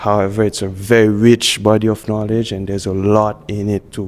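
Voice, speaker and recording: A man's fairly low, monotone voice with flat intonation at a fairly slow pace, against noticeable background noise. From Haiti. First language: French and Haitian Creole. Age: middle-aged. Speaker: visual artist. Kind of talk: interview.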